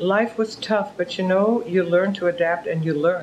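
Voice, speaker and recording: Over noticeable background noise, a woman with a German accent speaks at a fairly low pitch. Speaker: author and philanthropist. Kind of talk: interview.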